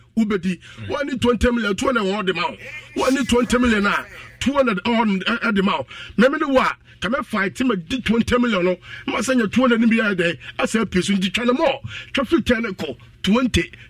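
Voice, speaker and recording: A man with a Ghanaian accent speaks at a moderate pace in a high pitch. His pitch varies in an ordinary way, and background noise is noticeable. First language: Twi. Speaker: radio promo presenter. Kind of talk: promotional announcement.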